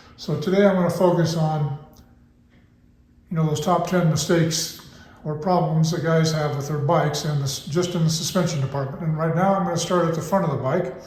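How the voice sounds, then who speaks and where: A man speaks at a fairly quick pace in a high-pitched, flat monotone, with audible room echo. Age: 60s. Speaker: motorcycle suspension expert. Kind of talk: tutorial. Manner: casual, hesitant with fillers.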